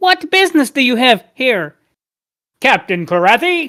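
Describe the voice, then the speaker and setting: In a put-on character voice, a female-sounding speaker goes at a fairly slow pace, pitched high with very wide pitch swings. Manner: imitating the player's voice.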